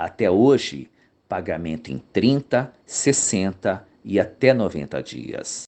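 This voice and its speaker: Vocal fry runs through this man's speech, and his pitch swings very widely. Behind him, the background stays quiet. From Brazil, São Paulo. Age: 60s. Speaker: YouTube commentator, former accounting teacher. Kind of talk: narrated commentary video.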